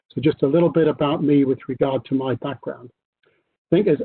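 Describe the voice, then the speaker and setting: Here is a man with a British accent. His pitch is fairly high. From UK. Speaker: corporate tax executive. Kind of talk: panel discussion. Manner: halting, many fillers.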